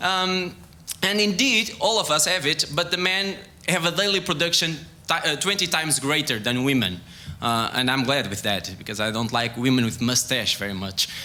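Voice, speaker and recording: A man with a Portuguese accent speaks with very wide pitch swings. Noticeable background noise and audible room echo surround him. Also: moderate pace. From Portugal. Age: young. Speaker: sports scientist. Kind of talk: science talk. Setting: stage with audience. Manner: halting.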